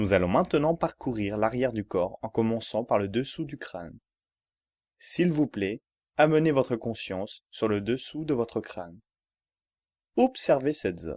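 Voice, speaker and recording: In a calm, soothing tone, the voice moves at a fairly slow pace with long, frequent pauses and lively intonation, the sound dry and close with no echo against a quiet background. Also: man, medium pitch for a man. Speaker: yoga relaxation guide. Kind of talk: yoga nidra guided relaxation for sleep. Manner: calm, slow, soothing.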